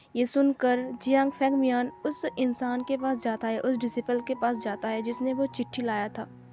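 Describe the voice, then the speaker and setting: The woman's voice is high-pitched. She talks with hardly any pauses. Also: fairly even intonation. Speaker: fanfiction story explainer. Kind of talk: story retelling. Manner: casual.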